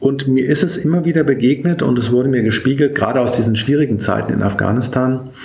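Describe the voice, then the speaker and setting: Ordinary pitch variation amid noticeable background noise and audible room echo. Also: man. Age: 50s. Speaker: military bishop. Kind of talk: interview. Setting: in person, office in Berlin. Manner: frequent filler sounds (äh, ähm).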